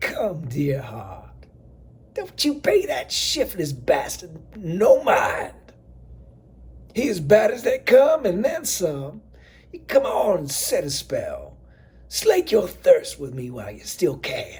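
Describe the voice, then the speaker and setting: A man uses a put-on character voice at a fairly slow pace. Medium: read story. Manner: motherly, coaxing, folksy.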